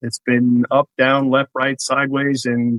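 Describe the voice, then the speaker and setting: A man with a New York accent, medium in pitch, at a moderate pace. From New York, Queens. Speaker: real estate broker. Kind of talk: casual podcast interview.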